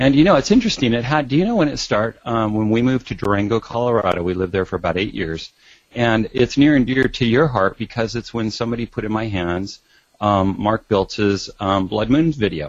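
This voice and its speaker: A plain, everyday voice from a man, medium in pitch, at a fairly quick pace with ordinary pitch variation. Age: 50s. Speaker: doctor and author. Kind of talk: interview.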